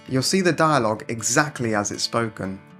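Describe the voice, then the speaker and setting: With music in the background, a man with a British accent speaks at a medium pitch with lively intonation. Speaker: English teacher. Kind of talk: scripted video intro.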